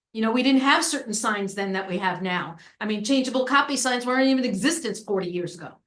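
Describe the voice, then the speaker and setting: In a room with audible echo, a woman with an American accent speaks very fast with hardly any pauses, her fairly high voice full of lively intonation. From New York. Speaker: planning consultant. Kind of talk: public meeting discussion. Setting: town committee meeting. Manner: casual, informal.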